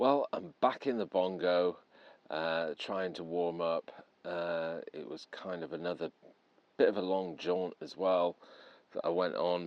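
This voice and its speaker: Here a man with an English accent has a very deep, low pitch. He goes at a fairly slow pace with ordinary pitch variation. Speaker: paranormal investigator vlogger. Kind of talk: vlog monologue. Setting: outdoors at night in woods; in a camper van. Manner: hesitant, many fillers.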